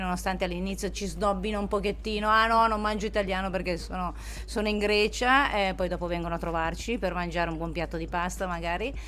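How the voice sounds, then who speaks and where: A woman talking at a fairly quick pace, with audible room echo. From northern Italy, Domodossola. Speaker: sommelier and restaurant co-owner. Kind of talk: interview. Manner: hesitant, many fillers.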